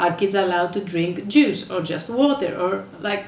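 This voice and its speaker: A woman with a Greek accent, with noticeable background noise. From Greece. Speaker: mother, parenting blogger. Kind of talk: casual talk to camera.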